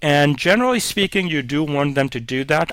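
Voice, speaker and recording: At a moderate pace, a man with a fairly high pitch talks in an unremarkable speaking voice with ordinary pitch variation and a dry, close sound with no echo. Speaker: webinar presenter. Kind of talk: tutorial. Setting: online webinar.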